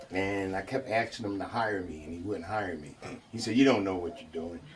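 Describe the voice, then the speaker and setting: Loud and fairly quick, this speaker has an American accent, with noticeable background noise behind the voice. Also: man. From New York. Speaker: mourner giving eulogy, construction worker. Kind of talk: eulogy speech. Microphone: speaking without a microphone.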